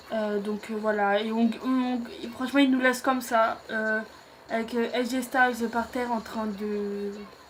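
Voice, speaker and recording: A fairly high-pitched woman's voice in a monotone, flat intonation, over noticeable background noise. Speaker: YouTuber, wrestling show reviewer. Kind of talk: casual show recap to camera. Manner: hesitant, many fillers.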